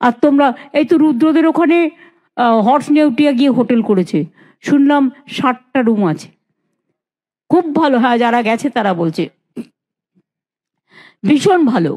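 A woman speaks in a high pitch with a dark, mellow tone over a quiet background. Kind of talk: public speech. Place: hall. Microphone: handheld.

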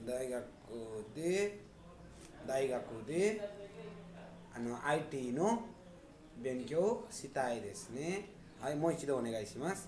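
A fairly high-pitched man speaks at a very slow pace with very wide pitch swings and long, frequent pauses, amid light background noise and audible room echo. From Nepal. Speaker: Japanese language teacher. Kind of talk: mock visa interview demo. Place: office. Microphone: phone near.

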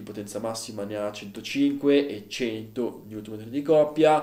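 Audible room echo clings to the voice. It belongs to a man. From Italy. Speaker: motorcycle video channel host. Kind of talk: casual video monologue reviewing a bike. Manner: conversational, filler words, fluent. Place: home room.

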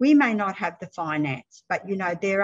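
A woman speaks in an Australian accent at a fairly slow pace. Her voice is somewhat breathy against a quiet background. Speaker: panelist. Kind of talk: panel discussion. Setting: video call. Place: home room. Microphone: video call.

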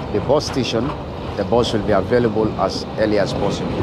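This man speaks at a fairly low pitch, the sound dry with no echo and noticeable background noise. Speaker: travel vlogger. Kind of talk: casual vlog chat. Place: street. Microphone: phone near.

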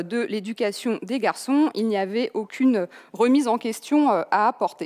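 A high-pitched woman with lively intonation at a fairly slow pace, over a quiet background. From France. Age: 30s. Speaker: journalist and author; conference speaker. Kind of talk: lecture. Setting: online conference. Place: hall. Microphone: headset.

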